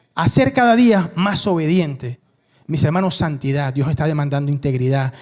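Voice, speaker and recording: Male speech full of lively intonation. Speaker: pastor. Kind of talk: sermon. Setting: church. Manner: fast.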